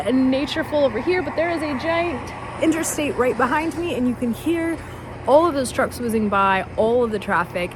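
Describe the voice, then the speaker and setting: Animated and with lively intonation, a woman talks at a high pitch. Noticeable background noise runs behind her. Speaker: product reviewer. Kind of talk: product review. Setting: outdoors. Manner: soft-spoken.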